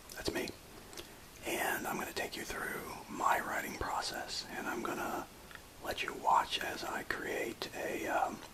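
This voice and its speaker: A man whispers, leaving long, frequent pauses. There is noticeable background noise. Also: fairly slow pace. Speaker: writer. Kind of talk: casual talk to camera.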